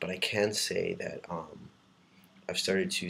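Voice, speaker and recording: Room echo can be heard in the recording. A man talks fairly slowly within it. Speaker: vlogger. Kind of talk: casual video diary. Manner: hesitant, many ums.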